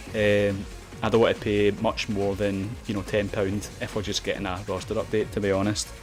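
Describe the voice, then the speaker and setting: A Glaswegian accent with a monotone, flat intonation at a moderate pace, with music in the background. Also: man, fairly low pitch for a man. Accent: Glaswegian Scottish. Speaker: video game YouTuber. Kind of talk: casual talk to camera. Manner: hesitant, lots of filler words.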